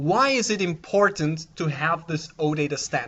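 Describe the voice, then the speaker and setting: With a German accent, the speaker proceeds at a fairly slow pace. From Austria. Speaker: conference speaker. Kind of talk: conference talk. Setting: conference room with audience.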